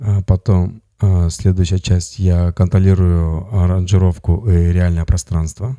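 Spoken with a strong Russian accent, this dark, mellow voice moves at a moderate pace with fairly even intonation, very even loudness and hardly any pauses. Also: man, very deep, low pitch for a man. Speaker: musician. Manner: halting, limited English.

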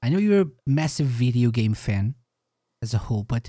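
Recorded very cleanly against a silent background with a dry, close sound and no echo, a man speaks at a medium pitch in a dark, mellow tone, somewhat breathy, with lively intonation. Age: 30s. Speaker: podcast host. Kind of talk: casual chat.

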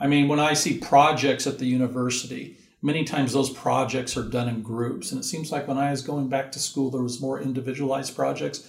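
With an American accent, a man speaks at a medium pitch and fairly quick pace, with vocal fry in his voice. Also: hardly any pauses. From US West Coast (Southern California). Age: 60s. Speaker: university career center director. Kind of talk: interview. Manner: animated.

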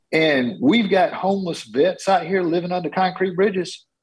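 Speaking at a moderate pace with a Southern US accent, a man uses a high-pitched voice. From Georgia, US South. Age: 50s. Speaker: congressional candidate. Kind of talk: interview.

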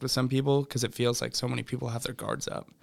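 Flat and monotone, a man's medium-pitched voice carries vocal fry. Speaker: podcast host, college student. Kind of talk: casual interview. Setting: studio.

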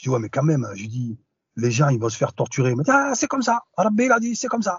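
Very wide pitch swings from a man at a very fast pace. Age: 40s. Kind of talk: interview testimony. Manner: hesitant, many fillers.

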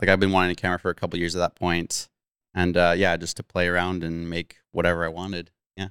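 A man with a western Canadian accent talks at a very fast pace in a very deep, low pitch and a monotone, flat intonation, on a very clean, silent-background recording with a dry, close sound and no echo. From Abbotsford, British Columbia, Canada. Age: 30s. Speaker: mountain bike YouTuber. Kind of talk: casual chat.

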